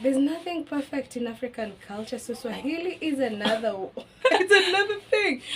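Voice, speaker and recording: With music in the background, a woman with a Kenyan accent speaks at a high pitch and a fairly slow pace, her pitch swinging very widely. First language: Kikuyu. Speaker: language teacher. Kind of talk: casual chat.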